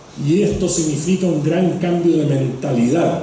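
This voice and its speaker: A man speaks at a high pitch with ordinary pitch variation. Audible room echo and noticeable background noise surround his voice. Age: 60s. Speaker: economist and environmental policy expert. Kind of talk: lecture. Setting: stage with audience.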